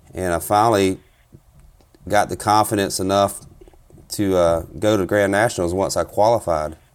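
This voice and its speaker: With a South Carolina accent, a man speaks in a fairly low voice and fairly even intonation at very even loudness, leaving long, frequent pauses. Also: moderate pace. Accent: Southern US (South Carolina). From US South, South Carolina. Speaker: turkey hunter and competition caller. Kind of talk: casual interview.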